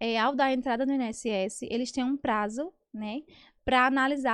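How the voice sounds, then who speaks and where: A high-pitched woman at a moderate pace, with a dry, close sound, no echo and a quiet background. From Paraíba, northeastern Brazil. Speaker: lawyer. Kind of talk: interview answers.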